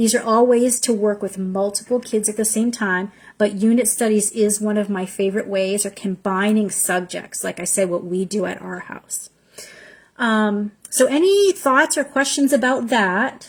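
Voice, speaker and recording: Somewhat breathy and fairly high-pitched, a woman speaks with ordinary pitch variation. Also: moderate pace. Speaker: homeschooling mentor. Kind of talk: online info session. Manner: animated.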